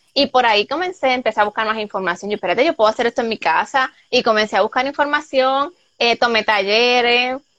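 Bright and sharp in tone, a woman talks at a very fast pace with hardly any pauses, using a fairly high pitch and ordinary pitch variation. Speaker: soap maker and entrepreneur. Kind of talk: interview.

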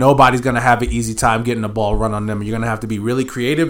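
A man rattles along at a very fast pace, his pitch medium and his intonation fairly even. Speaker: podcast host. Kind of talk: casual sports chat.

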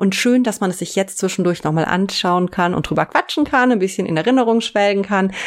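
A woman's plain, everyday voice at medium pitch with ordinary pitch variation, fairly quick and with hardly any pauses. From Eifel, western Germany. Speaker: intro voice of the show. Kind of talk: casual chat.

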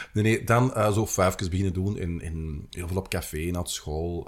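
This man talks with an Antwerp accent in a very deep, low pitch. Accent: Antwerp Flemish. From Antwerp, Belgium. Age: 40s. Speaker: city guide and author. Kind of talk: casual interview. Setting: studio at a table.

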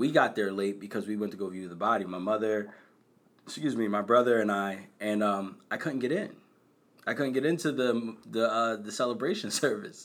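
A man talks in an ordinary speaking voice with an American accent. His pitch is fairly low, with ordinary pitch variation and a moderate pace. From Bristol, Pennsylvania (Philadelphia suburbs). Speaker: nonprofit founder, college access. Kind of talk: personal testimony.

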